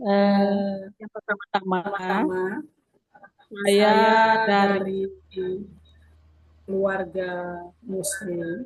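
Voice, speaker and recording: The delivery is very slow with long, frequent pauses and fairly even intonation. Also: woman, medium pitch for a woman. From South Sulawesi, Bulukumba. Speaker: pastor. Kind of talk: testimony. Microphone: poor connection.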